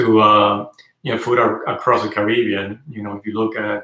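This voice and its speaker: Speaking in a Spanish accent, a man uses a fairly low pitch and a bright, sharp tone at a moderate pace. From Venezuela. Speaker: car channel host. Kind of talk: livestream chat. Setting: indoors livestream. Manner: hesitant, many fillers.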